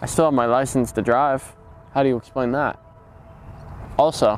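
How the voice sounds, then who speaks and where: Monotone and flat, a man speaks at a moderate pace. The sound is dry with no echo, with light background noise. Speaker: comedic character in mock interview. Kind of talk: interview answer. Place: garden. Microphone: lapel.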